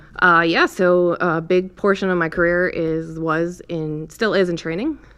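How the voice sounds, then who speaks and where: A woman with an American accent speaks fairly slowly, keeping her intonation fairly even. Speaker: police lieutenant. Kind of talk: casual interview.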